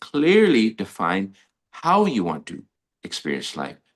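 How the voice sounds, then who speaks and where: This man's fairly high voice swings very widely in pitch and carries vocal fry. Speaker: life coach. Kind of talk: motivational teaching talk. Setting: live stream. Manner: fast.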